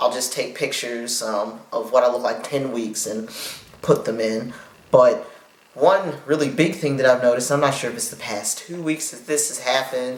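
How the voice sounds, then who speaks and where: A man talks at a moderate pace with ordinary pitch variation and big swings in loudness. Noticeable background noise and audible room echo fill the recording. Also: medium pitch for a man. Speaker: vlogger. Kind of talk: video diary. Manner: uneven pitch and volume.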